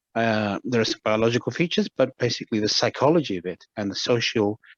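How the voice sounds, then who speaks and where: Ordinary pitch variation in a British accent, with a dry, close sound and no echo. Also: man. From Britain. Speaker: medical anthropologist and shamanic practitioner. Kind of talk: interview. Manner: halting, many repetitions.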